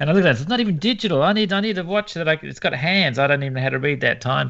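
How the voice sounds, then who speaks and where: Lively intonation from a man with an Australian accent. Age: 50s. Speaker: landscape photographer and podcast co-host. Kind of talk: casual interview chat.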